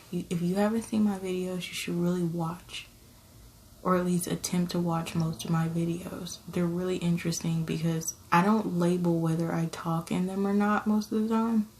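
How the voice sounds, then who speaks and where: Soft-spoken and fairly low in pitch, a woman talks at a moderate pace with monotone, flat intonation. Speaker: ASMR content creator and parent. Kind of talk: casual storytelling to camera. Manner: somewhat soft, conversational.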